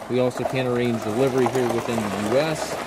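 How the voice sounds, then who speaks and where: Loud background noise surrounds a man speaking at a very fast pace, the sound dry with no echo. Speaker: tractor salesman. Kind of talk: product walkaround commentary. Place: street. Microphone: phone near.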